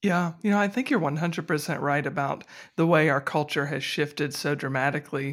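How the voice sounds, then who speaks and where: This man talks at a fairly quick pace with a fairly high pitch. He has an ordinary speaking voice. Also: ordinary pitch variation, very clean recording, silent background. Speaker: podcast host. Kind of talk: interview.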